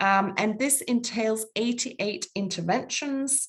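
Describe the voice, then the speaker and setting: With a Danish accent, a woman speaks at a fairly slow pace in a somewhat breathy voice, using ordinary pitch variation. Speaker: international public health official. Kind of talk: webinar presentation. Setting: webinar. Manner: hesitant, many fillers.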